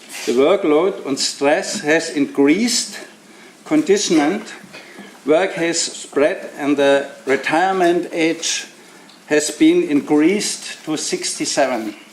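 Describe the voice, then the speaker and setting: With a German accent, a man talks at a very slow pace in a high pitch, with ordinary pitch variation and noticeable background noise. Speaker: left party politician. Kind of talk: prepared speech.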